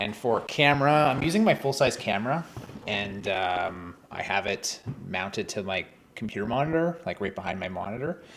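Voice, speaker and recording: A man's fairly low voice with a Canadian accent, lively intonation and a moderate pace. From Canada. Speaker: vlogger. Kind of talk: casual chat. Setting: live stream at home desk. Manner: halting, many fillers.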